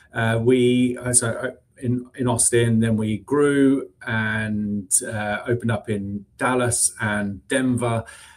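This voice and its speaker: A man speaks very slowly with a British accent. His voice sits at a medium pitch, and his intonation stays fairly even. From UK. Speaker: recruiting executive. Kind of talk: interview. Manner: hesitant, many fillers.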